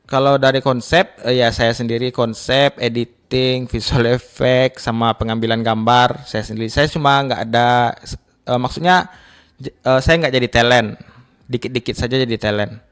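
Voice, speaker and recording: A man with a West Sumatran accent and fairly even intonation. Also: medium pitch for a man, moderate pace. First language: Minangkabau (speaking Indonesian). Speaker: content creator and videographer. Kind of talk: radio interview. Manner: halting.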